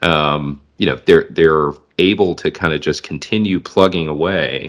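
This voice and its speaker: Speaking at a fairly slow pace, a man comes through on a very clean recording with a silent background. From US Midwest, southwest Michigan. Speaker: podcast host. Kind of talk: casual interview.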